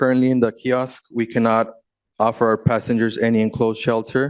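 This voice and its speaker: Fairly even intonation and a moderate pace mark a plain, everyday voice. The background is quiet. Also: man. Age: 30s. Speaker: bus company owner, public commenter. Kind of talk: public comment at board meeting. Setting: public meeting podium.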